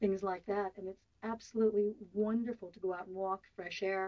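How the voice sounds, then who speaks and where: A plain, everyday voice with an American accent, fairly even intonation and a fairly quick pace. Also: woman. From US, Southern California. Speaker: interviewee on a weight-loss topic. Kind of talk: radio interview.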